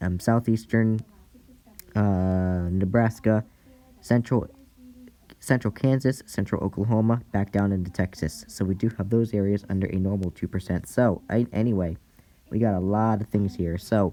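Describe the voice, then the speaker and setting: The voice has a dark, mellow tone, moving at a moderate pace with fairly even intonation. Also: man, fairly low pitch for a man. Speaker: amateur weather presenter. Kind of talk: weather outlook briefing. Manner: halting, frequent self-corrections.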